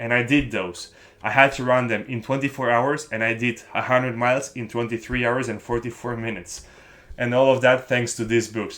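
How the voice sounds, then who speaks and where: A man with a non-native accent and a medium pitch talks at a fairly quick pace in a monotone, flat way. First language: not English. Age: young. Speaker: book-review vlogger. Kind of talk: casual vlog talk to camera. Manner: halting with self-corrections.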